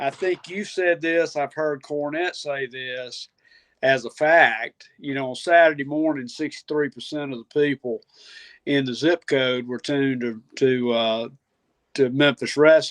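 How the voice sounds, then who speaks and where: This man has a fairly high pitch and a normal speaking voice, speaking at a fairly slow pace with ordinary pitch variation against a quiet background, in a dry, close sound with no echo. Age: 60s. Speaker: wrestling guest. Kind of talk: casual chat.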